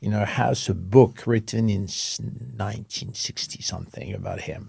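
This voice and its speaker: A man with a French accent, fairly low-pitched and with vocal fry, showing big swings in loudness. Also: ordinary pitch variation, moderate pace. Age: 70s. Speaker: interior design company creative director. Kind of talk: interview. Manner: halting.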